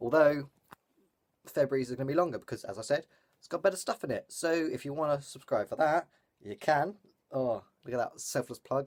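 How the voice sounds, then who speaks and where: Speaking at a fairly quick pace, a man with a British accent uses lively intonation. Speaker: vlogger. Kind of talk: vlog. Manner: fast; casual, filler-heavy.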